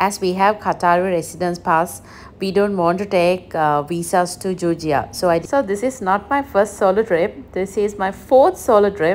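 Light background noise sits behind a woman speaking at a moderate pace with ordinary pitch variation. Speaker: solo travel vlogger. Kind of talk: casual vlog chat. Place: station. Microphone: phone near.

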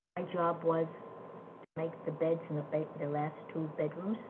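A woman speaks at a fairly slow pace and fairly low pitch in a monotone, flat way. Noticeable background noise is present. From Germany. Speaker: Holocaust survivor. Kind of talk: interview answer. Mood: reflective, matter-of-fact. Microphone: video call.

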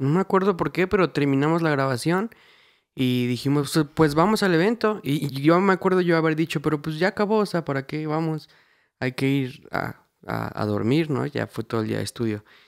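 At a moderate pace, a man with a plain, everyday voice speaks in a fairly high pitch with lively intonation. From Mexico, Querétaro. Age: 20s. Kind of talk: casual testimony chat.

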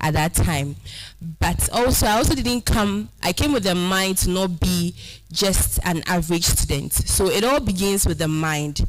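Music plays in the background as a woman speaks at a moderate pace with a fairly low pitch. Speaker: speaker. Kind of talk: motivational talk. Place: hall. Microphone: handheld.

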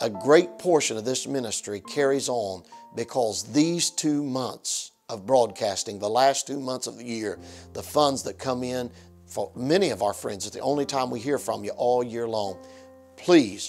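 A man at a fairly slow pace with faint music in the background. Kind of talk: fundraising appeal to viewers. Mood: warm, earnest. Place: studio. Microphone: lapel.

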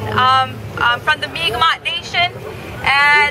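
Crowd noise fills the background as a woman speaks at a fairly slow pace. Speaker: speaker. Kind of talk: speech to a crowd. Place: street.

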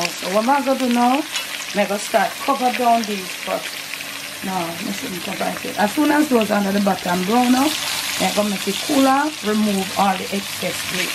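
Loud background noise under a woman speaking at a moderate pace. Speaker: home cook vlogger. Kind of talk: casual cooking vlog chat. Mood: relaxed, amused. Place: kitchen.

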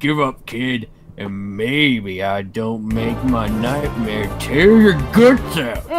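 Using a cartoonish character voice at medium pitch, a man speaks very slowly over faint background music. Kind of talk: anime villain acting. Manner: menacing, cold.

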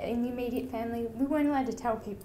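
Over light background noise, a woman with an Australian accent speaks in a high, dark, mellow voice with fairly even intonation. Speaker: donor-conceived person speaker, mental health worker. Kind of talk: testimony; tearful personal testimony, voice breaking over shame. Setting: stage with audience. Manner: emotional, halting, raw and wavering. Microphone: podium.

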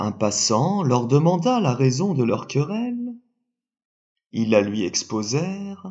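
In a soothing, gentle, somewhat breathy tone, a man speaks very slowly with very wide pitch swings. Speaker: sophrologist storyteller. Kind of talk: bedtime-style story telling, calm scripted narration of a fable. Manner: slow, soothing, gentle and measured.

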